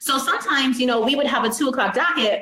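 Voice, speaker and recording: Her intonation is lively. This woman talks over noticeable background noise. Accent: American. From western New York (Rochester). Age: 30s. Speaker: judge. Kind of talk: interview. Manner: fast.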